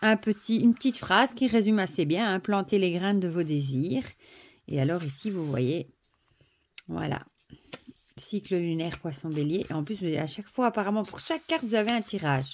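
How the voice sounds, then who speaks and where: The speech moves at a moderate pace with lively intonation, big swings in loudness, and long, frequent pauses. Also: woman, medium pitch for a woman. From Belgium (Wallonia). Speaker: oracle deck reviewer. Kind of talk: product review / unboxing. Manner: animated, enthusiastic; hesitant, many fillers.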